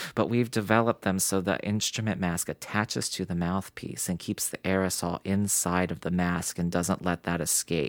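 Recorded very cleanly against a silent background, a man speaks at a moderate pace with hardly any pauses, his pitch very deep and low and his intonation fairly even. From West Virginia (Morgantown). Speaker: music studio owner. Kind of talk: interview. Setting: studio.

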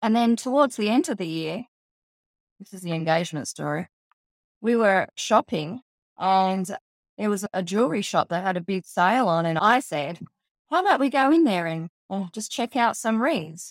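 An Australian-accented woman talks at a moderate pace with a medium pitch and lively intonation. The sound is dry and close, with no echo. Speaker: psychologist and divorce coach. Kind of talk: personal storytelling interview.

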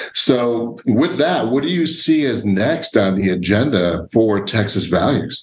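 This man has an ordinary speaking voice, medium in pitch, with an American accent. His intonation is lively, and he hardly pauses at all. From Illinois. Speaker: podcast host. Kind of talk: casual interview.

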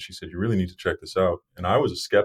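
The recording is very clean, with a silent background. A man speaks with an American accent. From Massachusetts (Brockton, near Boston). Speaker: startup founder and engineer. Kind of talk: interview.

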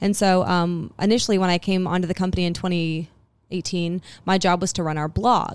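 Fairly even intonation comes through on a very clean recording with a silent background. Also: woman, medium pitch for a woman. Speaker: podcast co-host, office supply marketer. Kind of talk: casual interview. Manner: fast talker, interrupts.

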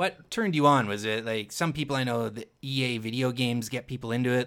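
In a very clean recording with a silent background, a man with an unremarkable speaking voice talks fairly quickly at a medium pitch with fairly even intonation. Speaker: podcast host. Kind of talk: casual chat.

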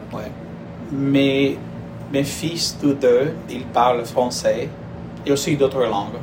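A man with a Spanish accent speaks very slowly in a fairly high voice, his intonation fairly even, with long, frequent pauses, music in the background and audible room echo. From Colombia (Barranquilla). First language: Spanish (speaking French). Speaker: professor. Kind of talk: interview.

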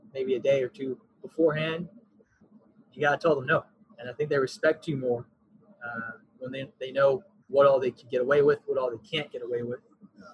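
With an American accent, a man speaks at a fairly quick pace yet with long, frequent pauses, his fairly high, somewhat breathy voice keeping fairly even intonation amid big swings in loudness, in a dry, close sound with no echo. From Texas (Frisco area). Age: 20s. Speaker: parks and recreation coordinator. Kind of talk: podcast interview.

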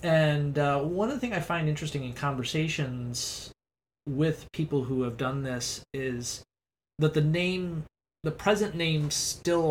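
The voice is somewhat breathy and moves at a fairly slow pace. Its pitch variation is ordinary. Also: man. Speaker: Spanish professor and podcast host. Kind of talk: interview conversation.

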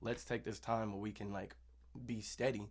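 A man's fairly low voice with vocal fry, ordinary pitch variation and a moderate pace, in a very clean recording with a silent background. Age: 20s. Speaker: musician. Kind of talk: casual chat.

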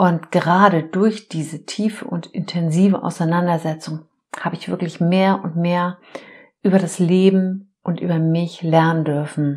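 This woman's voice is fairly low and somewhat breathy. She talks fairly slowly with monotone, flat intonation. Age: 50s. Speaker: life coach and podcast host. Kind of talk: solo podcast monologue. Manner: warm, heartfelt.

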